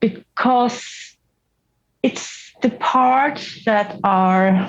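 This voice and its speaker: A woman with a non-native accent speaks in a fairly high voice. Her pitch varies in an ordinary way. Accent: noticeable foreign. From Norway. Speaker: therapy client. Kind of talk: therapy session. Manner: halting, many restarts.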